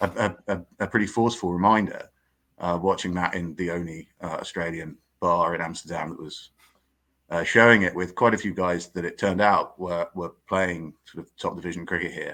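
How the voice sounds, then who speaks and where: A man's very deep, low voice with an English accent, a bright, sharp tone, fairly even intonation, big swings in loudness and a moderate pace, in a very clean recording with a silent background. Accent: English (Pommy). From southern England, Surrey. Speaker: cricket writer. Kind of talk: podcast interview. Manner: halting, many fillers and repetitions.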